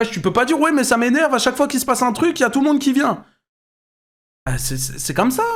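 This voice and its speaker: Loud and animated, the speech runs at a very fast pace with ordinary pitch variation, broken by long, frequent pauses. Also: man, extremely high pitch for a man. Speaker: YouTuber and streamer. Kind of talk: reaction commentary.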